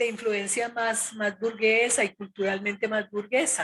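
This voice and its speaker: A woman talks at a very slow pace. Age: 70s. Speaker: retired social worker, former student leader. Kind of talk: interview testimony. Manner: speaks louder after request.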